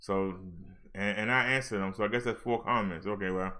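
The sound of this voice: Speaking at a fairly quick pace, a man uses a fairly low pitch, fairly even intonation and a bright, sharp tone.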